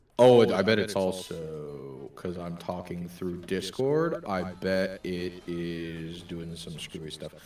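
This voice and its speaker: A very slow, mumbling man's voice at a very deep, low pitch, with hardly any pauses, big swings in loudness and ordinary pitch variation. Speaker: YouTube streamer. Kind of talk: casual chat. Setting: live stream via Discord.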